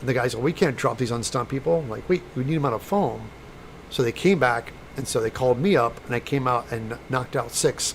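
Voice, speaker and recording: A man with an American accent, medium-pitched and somewhat breathy, at a fairly quick pace with ordinary pitch variation. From US Midwest, St. Louis, Missouri. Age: 60s. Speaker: special effects prop maker and YouTuber. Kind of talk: casual live-stream chat.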